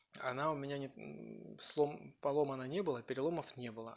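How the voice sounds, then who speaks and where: A man talks fairly quickly with ordinary pitch variation, and the background is quiet. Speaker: food vlogger. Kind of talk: casual storytelling while eating. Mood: calm, relaxed storytelling. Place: kitchen. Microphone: phone near.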